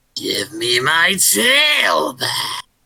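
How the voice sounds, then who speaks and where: In a put-on character voice, a man speaks raspy and high-pitched. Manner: eerie, demanding.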